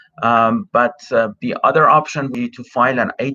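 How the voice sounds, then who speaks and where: Dry and close with no echo, a man's medium-pitched voice has a bright, sharp tone and fairly even intonation. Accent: Persian. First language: Persian (Farsi). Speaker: immigration consultant. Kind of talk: live Q&A stream. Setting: live stream over cell phone connection. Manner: many filler words (uh, um). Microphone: unreliable connection, streaming from cell phone.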